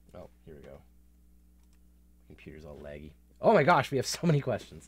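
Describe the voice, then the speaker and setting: A man's voice with vocal fry at a moderate pace. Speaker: interview host. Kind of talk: live-streamed interview. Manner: animated.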